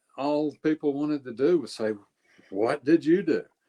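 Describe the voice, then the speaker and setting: A man talks at a moderate pace in a dark, mellow tone, recorded dry and close with no echo. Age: 60s. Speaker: life longevity coach. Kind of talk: interview.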